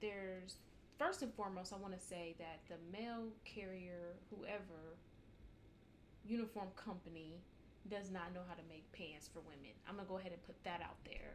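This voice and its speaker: With noticeable background noise and audible room echo, a woman speaks at a moderate pace in a medium-pitched voice with fairly even intonation. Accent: American. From United States. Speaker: postal mail carrier, vlogger. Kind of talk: casual advice vlog. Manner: casual, conversational; loud.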